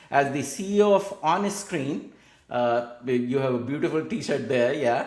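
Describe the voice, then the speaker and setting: This man's voice sits fairly high in pitch and moves at a moderate pace. Room echo is audible. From India. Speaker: podcast host. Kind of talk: interview.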